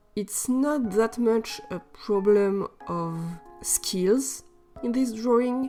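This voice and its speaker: A woman with a non-native accent and a fairly high pitch, at a very slow pace with ordinary pitch variation, music in the background. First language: non-native English speaker. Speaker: artist. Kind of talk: art process voiceover. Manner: casual, slightly hesitant.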